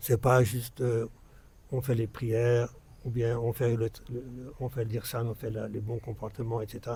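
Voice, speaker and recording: Somewhat breathy and dark, mellow in tone, a man speaks at a medium pitch and a fairly slow pace in a monotone, flat intonation. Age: 60s. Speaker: religious speaker. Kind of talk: religious talk to followers. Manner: halting, many repetitions.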